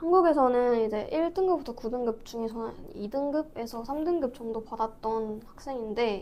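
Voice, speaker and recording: The speech moves at a moderate pace with hardly any pauses. Its pitch varies in an ordinary way. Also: woman, high pitch for a woman. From South Korea. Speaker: student. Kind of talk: interview.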